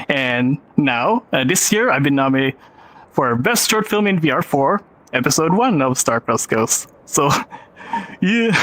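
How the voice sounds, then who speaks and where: Over noticeable background noise, a man with a Filipino accent talks fairly slowly at a fairly high pitch with very wide pitch swings and very even loudness, the sound dry and close with no echo. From Philippines. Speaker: film director and VR filmmaker. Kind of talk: panel presentation.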